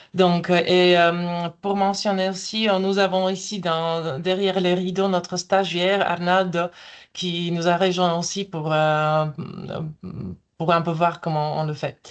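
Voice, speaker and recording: A woman with a non-native accent speaks at a very slow pace in a fairly low-pitched voice. Her intonation is monotone and flat, and the background is quiet. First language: not French (speaking French). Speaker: EU translation official presenting AI tools. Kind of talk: webinar presentation. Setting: online webinar. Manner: hesitant, many fillers.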